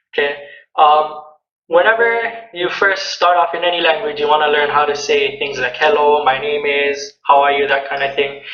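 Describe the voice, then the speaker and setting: The speaker talks at a moderate pace with ordinary pitch variation. Music plays in the background. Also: man. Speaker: language teacher. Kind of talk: casual instructional talk to camera.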